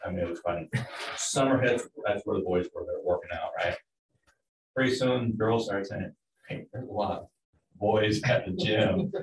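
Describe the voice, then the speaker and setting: A man talks at a moderate pace over light background noise, with audible echo in the room. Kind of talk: meeting discussion, anecdote. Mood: relaxed, amused. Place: meeting room. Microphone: camera far.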